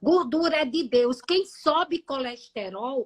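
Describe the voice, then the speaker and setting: Here a woman speaks very slowly in a high, raised, projected voice with a bright, sharp tone. Her pitch varies in an ordinary way, and the sound is dry and close with no echo. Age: 60s. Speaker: nutritionist. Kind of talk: live stream health talk. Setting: live stream.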